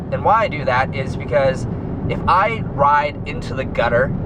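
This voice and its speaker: Here a man's voice sits fairly high and moves with lively intonation. The room echo is audible, and background noise is noticeable. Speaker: pro cyclist vlogger. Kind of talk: casual vlog monologue. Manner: loud; halting, many fillers.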